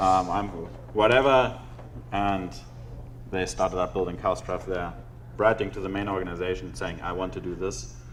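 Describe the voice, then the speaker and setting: A man with a German accent speaks at a very deep, low pitch with lively intonation. Long, frequent pauses break his speech, and audible room echo surrounds it. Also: moderate pace. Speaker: conference speaker. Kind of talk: conference talk. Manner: halting.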